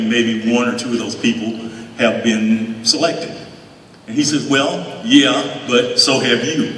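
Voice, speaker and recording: A man with an American accent speaks at a medium pitch and a fairly slow pace, his intonation fairly even. Audible room echo and noticeable background noise fill the recording. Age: 70s. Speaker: hall of fame inductee, former football player. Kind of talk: acceptance speech. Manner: halting.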